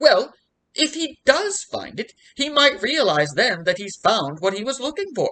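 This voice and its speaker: The speaker uses a high-pitched, put-on character voice. The pace is moderate. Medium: read story. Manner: pompous, rambling.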